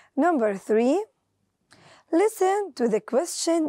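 A woman speaks at an extremely high pitch with very wide swings, her voice dry and echo-free against a quiet background. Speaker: teacher. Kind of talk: lesson. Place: studio.

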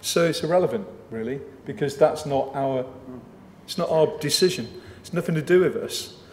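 The speech moves at a moderate pace with long, frequent pauses and ordinary pitch variation, with audible room echo and light background noise. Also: man, big swings in loudness. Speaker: local councillor. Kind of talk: committee debate. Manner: forceful, emphatic. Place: meeting room. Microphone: podium.

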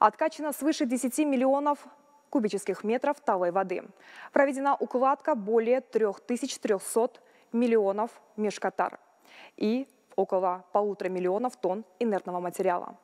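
Long, frequent pauses mark a woman's speech at a moderate pace and fairly high pitch. Her pitch variation is ordinary, and the background is quiet. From Kazakhstan. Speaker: ministry spokesperson. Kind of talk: official briefing. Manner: formal. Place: hall.

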